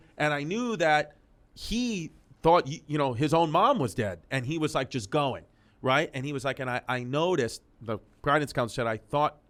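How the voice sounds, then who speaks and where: With a New York accent, a man speaks at a fairly high pitch in an animated tone and lively intonation, on a very clean recording with a silent background. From New York City, Queens. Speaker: comedian. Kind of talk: casual interview chat. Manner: fast, animated.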